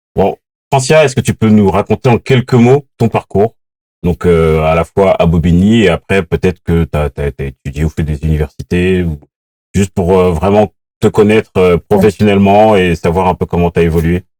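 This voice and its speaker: At a moderate pace, a man speaks in a very deep, low voice with a dark, mellow tone and ordinary pitch variation, the sound dry and close with no echo. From France, Paris suburbs (Seine-Saint-Denis). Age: 40s. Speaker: podcast host. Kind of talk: interview.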